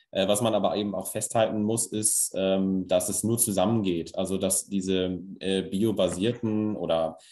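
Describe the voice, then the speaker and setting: Against a quiet background, a man speaks fairly slowly in a fairly low, monotone, flat voice. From northern Germany, Lower Saxony (Stade district). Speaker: engineer and cluster managing director. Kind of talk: interview.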